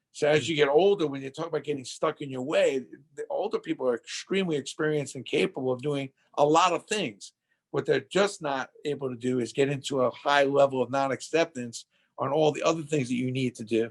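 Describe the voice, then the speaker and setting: A man talks at a fairly quick pace with a fairly high pitch and ordinary pitch variation, an unremarkable speaking voice. The sound is dry and close, with no echo. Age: 60s. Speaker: entrepreneur and author. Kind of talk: interview. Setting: podcast.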